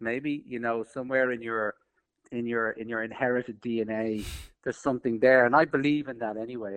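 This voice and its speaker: In an Irish accent, a man speaks at a moderate pace in a medium pitch with a monotone, flat intonation. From Ireland. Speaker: film director. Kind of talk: interview.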